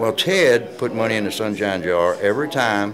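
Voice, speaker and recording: Amid audible room echo and noticeable background noise, a man talks at a moderate pace in a medium pitch with very wide pitch swings. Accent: Southern US. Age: 70s. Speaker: retired pro wrestler. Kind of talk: interview. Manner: halting.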